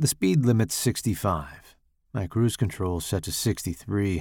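A man with a fairly low pitch and lively intonation talks in a plain, everyday voice on a very clean recording with a silent background. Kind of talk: horror short story narration. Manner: first-person narration with distinct character voices.

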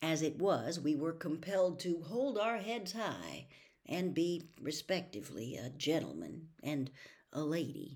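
A woman's unremarkable speaking voice, fairly low in pitch, with lively intonation and a fairly slow pace. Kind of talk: audiobook reading of a novel. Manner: measured, even-paced narration with a calm storyteller's cadence.

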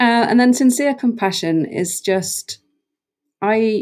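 The speaker is a woman with a somewhat breathy sound. She keeps to a moderate pace. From Norway, rural west coast island. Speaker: brand strategist and designer. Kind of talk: interview conversation.

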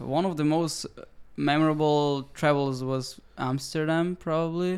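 This man has a fairly high pitch and speaks at a fairly slow pace. His intonation is monotone and flat. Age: 20s. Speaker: photographer and videographer. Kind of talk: casual chat. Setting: on location in Tokyo.

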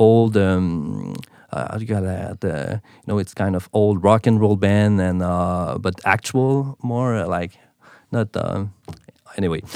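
Speaking with a Quebec accent, a man with a fairly low pitch and ordinary pitch variation talks at a moderate pace on a very clean recording with a silent background. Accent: Quebecois French. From Quebec, Montreal. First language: French. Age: 30s. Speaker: drummer and accountant. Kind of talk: casual interview chat. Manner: halting, many fillers.

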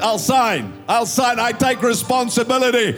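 Over noticeable background noise, a man speaks in an animated tone at a moderate pace. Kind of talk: sermon. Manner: blunt, conversational and jokey, with folksy asides between scripture.

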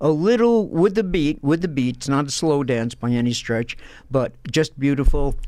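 With a New York accent, a man speaks at a fairly high pitch in a dark, mellow tone with lively intonation. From Brooklyn, New York. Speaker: former professor and author. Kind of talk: interview.

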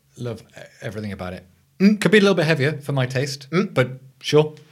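With an English accent, a man speaks at a very fast pace, somewhat breathy, with very wide pitch swings. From England. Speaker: podcast co-host. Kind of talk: casual chat.

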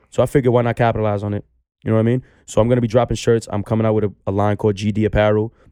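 In a New York accent, a man speaks at a very fast pace with a fairly low pitch, a dark, mellow tone and monotone, flat intonation, in a dry, close sound with no echo on a very clean recording with a silent background. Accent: New York (Bronx). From New York City, the Bronx. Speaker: barber. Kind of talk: casual chat.

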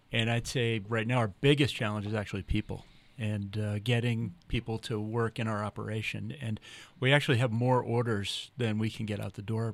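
Speaking with a Boston accent, a man has a medium pitch and fairly even intonation at a moderate pace. The recording is very clean, with a silent background. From Massachusetts. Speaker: company CEO. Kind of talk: casual chat. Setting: studio.

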